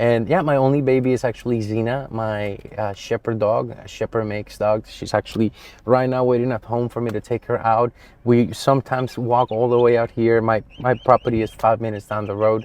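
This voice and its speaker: The intonation is a flat monotone, and the pace is fairly quick. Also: man, medium pitch for a man. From Colombia. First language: Spanish. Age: 30s. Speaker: real estate agent. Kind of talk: casual personal vlog.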